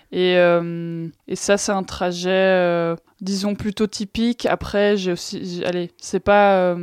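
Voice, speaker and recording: A woman talks very slowly in a flat, monotone delivery, with a dry, close sound and no echo. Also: medium pitch for a woman, very clean recording, silent background. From Brussels, Belgium (Schaerbeek). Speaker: airline pilot. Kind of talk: interview.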